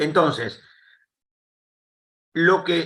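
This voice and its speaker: A man uses a raised, projected voice and speaks at a fairly slow pace. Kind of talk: panel interview. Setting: live streamed call.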